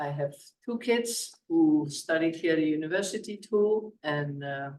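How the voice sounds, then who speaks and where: Speaking with a Dutch accent, a man has a fairly high pitch and ordinary pitch variation. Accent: Dutch accent, lasting. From Netherlands. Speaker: parks committee member, landscape architect. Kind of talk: meeting introductions.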